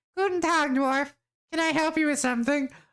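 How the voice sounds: A high-pitched put-on character voice goes at a fairly quick pace on a very clean recording with a silent background.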